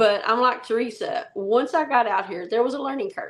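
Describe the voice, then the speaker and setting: A woman speaks in a Southern accent. Her pitch is high. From US South, rural Arkansas. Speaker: travel nurse, podcast co-host. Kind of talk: casual chat.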